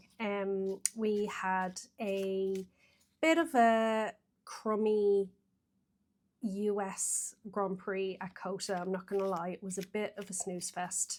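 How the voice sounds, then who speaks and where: A woman's medium-pitched voice in an Irish accent, at a very slow pace. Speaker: tarot reader. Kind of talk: casual vlog talk. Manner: hesitant, lots of fillers.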